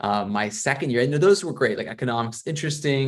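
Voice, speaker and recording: At a fairly quick pace, a man speaks with an American accent and ordinary pitch variation. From US Midwest, Missouri. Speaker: PhD student, data scientist. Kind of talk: webinar talk. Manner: hesitant, many fillers and repeats.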